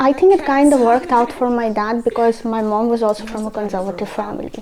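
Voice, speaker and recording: A woman's fairly high voice with ordinary pitch variation and a Russian accent at a very fast pace, over noticeable background noise. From India (born in Russia, moved at nine). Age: 20s. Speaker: recent graduate and designer. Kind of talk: casual interview monologue.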